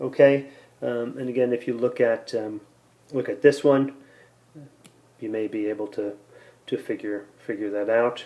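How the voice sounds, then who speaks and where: A man talks at a moderate pace and medium pitch, with fairly even intonation. His speech has long, frequent pauses. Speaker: math teacher. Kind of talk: tutorial. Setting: recorded lesson with iPad. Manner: hesitant, many fillers.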